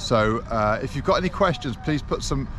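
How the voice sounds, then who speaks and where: Noticeable background noise behind a man's dry voice with no echo. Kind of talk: event briefing. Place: beach. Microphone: phone near.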